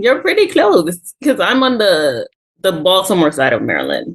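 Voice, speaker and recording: A woman with a slight Virgin Islands accent speaks at a moderate pace. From US Virgin Islands, St Croix. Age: 30s. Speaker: small business owner with type 1 diabetes. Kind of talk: podcast interview.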